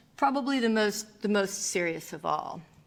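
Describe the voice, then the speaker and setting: A woman with a plain, everyday voice talks at medium pitch with lively intonation. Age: 60s. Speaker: philosophy professor. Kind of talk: lecture.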